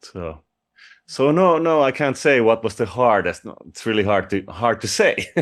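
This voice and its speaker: A man with a Finnish accent, medium in pitch, at a moderate pace, with lively intonation and big swings in loudness against a quiet background. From Finland. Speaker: rock vocalist. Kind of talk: interview.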